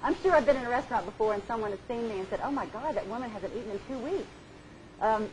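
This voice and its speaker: Over noticeable background noise, a woman talks with lively intonation at a high pitch. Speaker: etiquette trainer. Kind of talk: lecture. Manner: fast.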